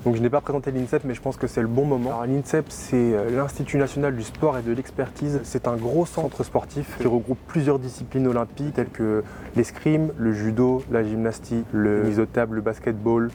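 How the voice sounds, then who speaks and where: Fairly even intonation at a moderate pace, with hardly any pauses and music in the background. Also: man, medium pitch for a man. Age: 20s. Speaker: Olympic swimmer. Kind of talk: vlog narration. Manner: casual with frequent hesitations.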